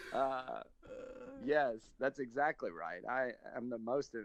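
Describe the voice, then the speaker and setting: A man with a Southern US accent, medium in pitch, at a very slow pace. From US South. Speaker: stand-up comedian. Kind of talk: casual interview chat.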